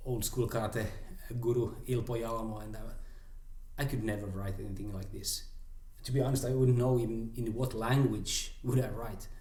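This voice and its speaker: In a Swedish accent, a man of medium pitch talks at a moderate pace with monotone, flat intonation. His tone is dark, mellow and somewhat breathy, with audible room echo. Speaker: karate teacher. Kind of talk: casual chat.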